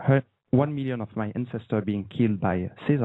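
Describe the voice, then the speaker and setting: A man speaks with a slight French accent. His pitch is medium and his pace moderate. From France. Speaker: radio show host. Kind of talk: casual panel discussion.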